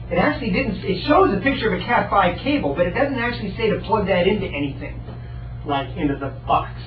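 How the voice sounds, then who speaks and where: The pace is fairly quick. Noticeable background noise and audible room echo sit behind the voice. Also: man. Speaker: research talk speaker. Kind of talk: lecture. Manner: fast.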